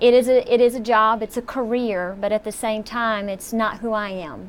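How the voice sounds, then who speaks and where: A woman speaks with a Southern US accent at a fairly high pitch. Her pace is moderate and her intonation fairly even. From US South. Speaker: tribute performer. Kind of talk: interview.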